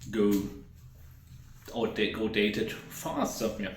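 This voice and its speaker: This German-accented voice comes with audible room echo and noticeable background noise. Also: man. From Germany, Hesse. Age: 30s. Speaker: YouTuber. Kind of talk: casual vlog talk. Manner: unscripted, rambling with fillers.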